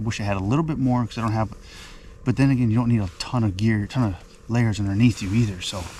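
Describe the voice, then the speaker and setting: Somewhat breathy speech comes at a very fast pace with ordinary pitch variation. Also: man. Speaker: fishing vlogger. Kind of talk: casual vlog narration. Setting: outdoors on a frozen lake.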